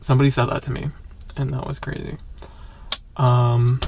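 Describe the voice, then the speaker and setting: Noticeable background noise sits under a man who talks fairly quickly at a medium pitch, his intonation fairly even. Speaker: vlogger. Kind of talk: casual chat. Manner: rambling filler-heavy casual.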